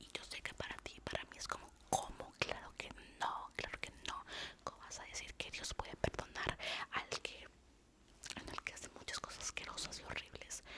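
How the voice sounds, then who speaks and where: Whispering in a gentle tone, a woman's loudness swings widely against noticeable background noise. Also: moderate pace. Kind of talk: casual talk to camera, devotional talk. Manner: soft-spoken, gentle.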